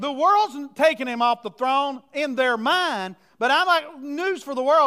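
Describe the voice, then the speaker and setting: With a bright, sharp, extremely high voice, a man speaks in a raised, projected, animated way. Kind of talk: preacher's sermon to a live congregation, teaching from scripture with call-and-response. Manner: animated, rhythmic, pulpit cadence, builds on repeated phrases and asks for amens.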